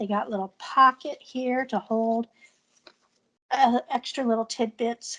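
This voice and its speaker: Loud and high-pitched, a woman with a bright, sharp tone speaks fairly slowly with fairly even intonation and long, frequent pauses, in a dry, close sound with no echo. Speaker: art journaling teacher. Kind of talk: tutorial. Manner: casual, chatty.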